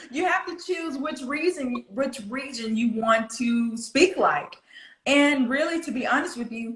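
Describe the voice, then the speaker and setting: A woman's high, lively voice at a fairly slow pace. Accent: Southern US. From US South, Florida. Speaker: pronunciation coach. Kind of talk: interview.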